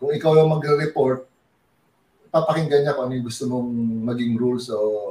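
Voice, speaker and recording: The man's voice is medium in pitch and somewhat breathy, with a dark, mellow tone. He keeps a moderate pace and fairly even intonation. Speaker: basketball coach and former pro player. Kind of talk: interview.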